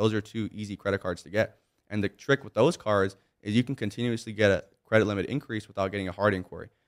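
Very fast and with a Californian accent, a man with a fairly low pitch speaks in fairly even intonation, the sound dry and close with no echo. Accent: Californian American. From Southern California (Monrovia, near Pasadena). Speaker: entrepreneur and personal brand influencer. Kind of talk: casual interview. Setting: studio.

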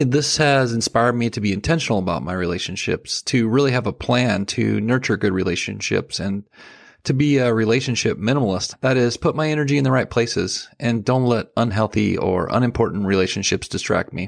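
A man speaks in a normal speaking voice at medium pitch with ordinary pitch variation. His pace is fairly quick, with hardly any pauses. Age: 40s. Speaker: podcast host. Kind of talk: solo podcast monologue.

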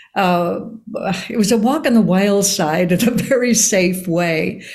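A woman's somewhat breathy voice at a fairly slow pace. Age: 80s. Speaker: actor and author. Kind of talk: interview conversation.

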